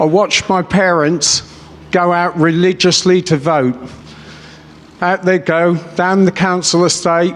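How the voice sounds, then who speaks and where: A man speaks fairly slowly in a high, monotone, flat voice with very even loudness. Long, frequent pauses break up his speech, and background noise is noticeable. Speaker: businessman and political rally speaker. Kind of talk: political rally speech. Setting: stage with audience. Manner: off the cuff, impassioned.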